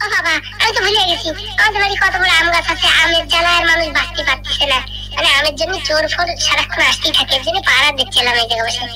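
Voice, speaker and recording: An extremely high-pitched cartoonish character voice talks at a very fast pace over loud background noise. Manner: hospitable, chatty.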